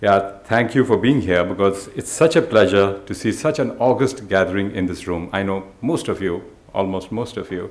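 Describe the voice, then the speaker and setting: With hardly any pauses, a man speaks in a plain, everyday voice at a fairly low pitch with ordinary pitch variation. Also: moderate pace. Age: 60s. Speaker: institute founder and director. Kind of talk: welcome speech.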